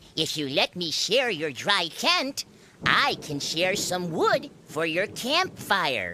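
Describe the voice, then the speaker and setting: In a put-on character voice of middle pitch, the speaker goes at a very slow pace. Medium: read story. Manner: polite, friendly.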